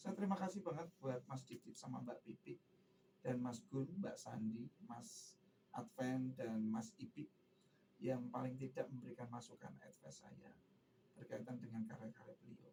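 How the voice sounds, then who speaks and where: With a dark, mellow tone and vocal fry, the speaker moves at a moderate pace with lively intonation. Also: man, medium pitch for a man. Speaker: singer, tribute performer. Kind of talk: radio interview.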